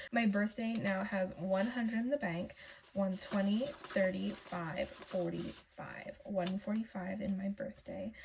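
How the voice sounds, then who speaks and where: A woman speaks at a fairly slow pace and medium pitch, with ordinary pitch variation. Noticeable background noise runs underneath. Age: 20s. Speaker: budgeting vlogger. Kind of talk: casual vlog talk.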